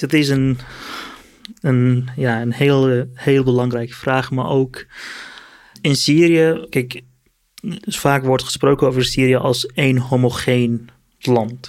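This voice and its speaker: Speaking very slowly, a man leaves long pauses often. His medium pitch carries fairly even intonation. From Syria, Kurdish from Aleppo. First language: Kurdish or Arabic (speaking Dutch). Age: 30s. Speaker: political activist and refugee. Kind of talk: interview. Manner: halting, many fillers and repetitions.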